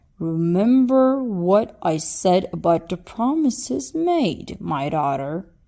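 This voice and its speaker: A woman does a put-on character voice at medium pitch, swinging very widely in pitch. She talks at a fairly slow pace with hardly any pauses. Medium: read story.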